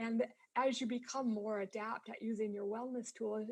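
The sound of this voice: At a moderate pace, the voice has a slightly mellow tone and a slightly husky edge. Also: woman.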